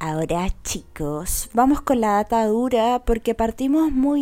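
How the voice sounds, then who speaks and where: A woman speaks at a very slow pace in a Chilean accent, her tone dark and mellow. The recording is very clean, with a silent background. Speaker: podcaster. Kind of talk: casual chat.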